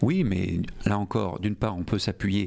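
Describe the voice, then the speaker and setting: A man speaks at a moderate pace with a fairly low pitch. He has a plain, everyday voice. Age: 40s. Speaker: politician, mayoral candidate. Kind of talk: radio interview.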